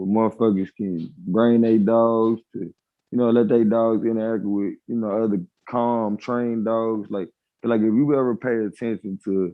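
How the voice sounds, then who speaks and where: Speaking with a Nashville accent, a man keeps a medium pitch, fairly even intonation and a fairly slow pace. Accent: Nashville southern drawl. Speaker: live-stream debate host. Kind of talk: casual chat.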